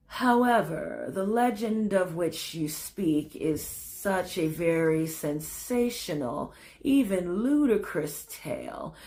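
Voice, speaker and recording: A woman puts on a wheezy character voice at medium pitch, talking at a fairly slow pace with hardly any pauses. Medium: read story. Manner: flat drone, slow.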